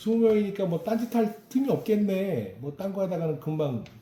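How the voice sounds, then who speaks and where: Very wide swings in pitch at a moderate pace. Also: man. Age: 50s. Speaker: local news reporter. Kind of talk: interview.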